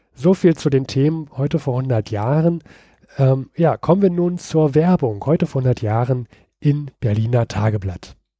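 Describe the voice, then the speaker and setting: A man speaks in a dark, mellow tone that is somewhat breathy, with lively intonation at a fairly slow pace. The recording is very clean, with a silent background. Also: medium pitch for a man, dry, close sound with no echo. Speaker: podcast host. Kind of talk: vintage radio commercial read aloud, ad copy delivered in an old-fashioned pitch. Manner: salesman-like, emphatic and rhythmic, rattling off product claims.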